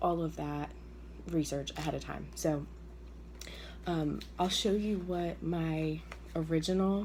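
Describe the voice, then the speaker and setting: A woman speaks with long, frequent pauses. Audible echo fills the room. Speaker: direct sales consultant. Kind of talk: tutorial. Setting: at home early morning. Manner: hesitant, many fillers.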